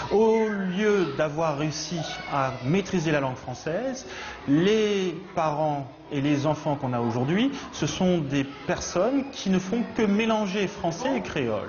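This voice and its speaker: Someone speaks at a very slow pace in a Réunion accent. There is noticeable background noise. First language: Réunion Creole (speaking French). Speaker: teacher. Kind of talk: interview.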